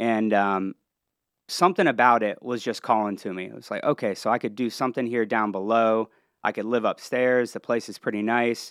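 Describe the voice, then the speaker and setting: On a very clean recording with a silent background and a dry, close sound with no echo, a man with a Midwestern American accent speaks at a medium pitch with fairly even intonation. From Ohio, near Columbus and Cincinnati. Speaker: entertainment entrepreneur and venue owner. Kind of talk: casual interview.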